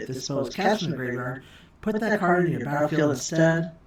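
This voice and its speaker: Over noticeable background noise and audible room echo, a woman talks at a very fast pace with a very deep, low pitch. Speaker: card game unboxing youtuber. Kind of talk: casual unboxing commentary. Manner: animated. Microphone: poor audio, OBS mic setup mistake.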